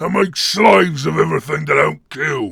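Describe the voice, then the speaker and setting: A man performs in a put-on character voice. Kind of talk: dramatic character monologue.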